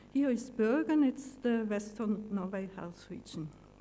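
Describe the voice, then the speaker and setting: The voice has a dark, mellow tone and a German accent, with ordinary pitch variation. Audible room echo surrounds it. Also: woman. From Germany. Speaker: pathologist. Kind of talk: conference talk.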